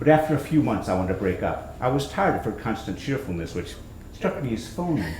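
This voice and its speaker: A man's medium-pitched voice at a very fast pace, with very wide pitch swings and audible room echo. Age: 60s. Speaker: author and comedic performer. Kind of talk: reading aloud from own book.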